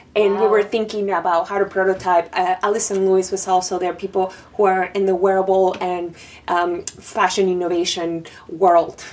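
A woman with a Spanish accent speaks at a moderate pace in a flat, monotone delivery, with noticeable background noise behind her. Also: medium pitch for a woman. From Panama. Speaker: designer and artist. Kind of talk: interview. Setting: artist residency studio.

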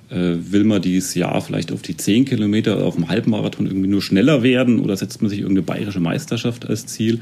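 Using a normal speaking voice, a man talks at a fairly quick pace with a fairly low pitch and ordinary pitch variation. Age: 30s. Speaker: amateur marathon runner. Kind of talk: interview.

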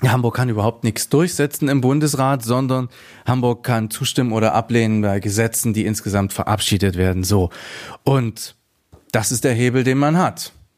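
A man speaks in an ordinary speaking voice. His pitch is medium, with ordinary pitch variation. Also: moderate pace, very even loudness. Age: 40s. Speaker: small party politician, teacher. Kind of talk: political interview.

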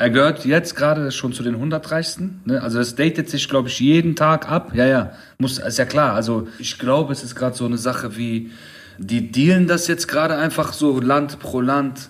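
This is an unremarkable speaking voice, a man's, fairly high in pitch, moving at a moderate pace with ordinary pitch variation. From Middle Eastern background, raised in Germany. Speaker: podcast host. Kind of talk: casual chat.

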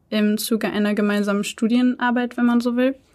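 Fairly high-pitched woman's voice, dark and mellow in tone, on a very clean recording against a silent background. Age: 20s. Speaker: startup founder. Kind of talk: interview.

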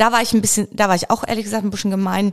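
Her medium-pitched voice shows vocal fry as the woman speaks. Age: 50s. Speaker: biochemist and company founder. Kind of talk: casual interview.

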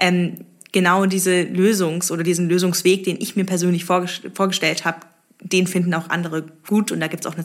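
There's vocal fry in this voice, which has monotone, flat intonation. The pace is fairly quick. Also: woman. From Stuttgart, Germany. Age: 20s. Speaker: startup founder. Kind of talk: interview. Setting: coworking space.

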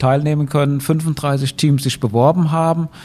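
With a dark, mellow tone, a man speaks at a fairly high pitch using fairly even intonation. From Rhineland-Palatinate, Germany. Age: 50s. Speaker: university president, professor. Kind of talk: interview.

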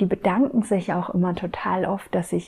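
A woman's somewhat breathy voice with a dark, mellow tone. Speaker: spiritual podcast host. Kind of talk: casual monologue. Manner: improvised, flowing.

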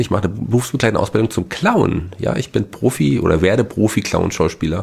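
A man with a normal speaking voice talks at a fairly quick pace, his fairly low pitch showing ordinary variation. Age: 40s. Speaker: podcast co-host. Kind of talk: casual chat.

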